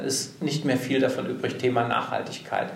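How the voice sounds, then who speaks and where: The man's voice sits fairly high in pitch. Audible room echo and noticeable background noise surround it. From Hesse, Germany (Bad Homburg). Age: 40s. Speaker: career and personal development coach. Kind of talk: interview. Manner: talkative.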